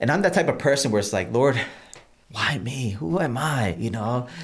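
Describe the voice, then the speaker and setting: The voice moves at a very fast pace with lively intonation. There is audible room echo. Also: man. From Massachusetts (Holyoke), born in Puerto Rico. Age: 40s. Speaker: pastor. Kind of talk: interview about personal faith story.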